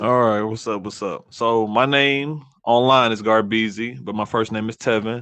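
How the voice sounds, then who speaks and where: With an American accent, a man speaks at medium pitch and a moderate pace, with hardly any pauses. He has an ordinary speaking voice and fairly even intonation. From US South. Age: 20s. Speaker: streamer. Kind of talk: casual chat.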